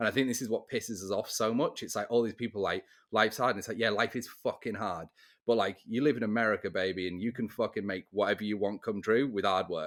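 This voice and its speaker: Over a very clean recording with a silent background, a man with an English accent talks very fast at a medium pitch with fairly even intonation. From England. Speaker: real estate podcast host. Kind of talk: casual chat.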